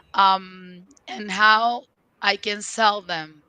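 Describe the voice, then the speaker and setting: Here a woman speaks with a Spanish accent and a bright, sharp tone. Her intonation is fairly even. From Venezuela. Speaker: leadership and career coach. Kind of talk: interview. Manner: halting, frequent fillers.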